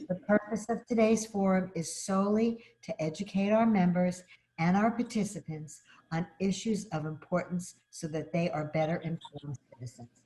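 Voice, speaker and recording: With a Brooklyn accent, a woman speaks at a medium pitch and a moderate pace. Her somewhat breathy voice has a dark, mellow tone and ordinary pitch variation. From Brooklyn, New York. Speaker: advocacy organization state director. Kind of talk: formal opening remarks. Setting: video call.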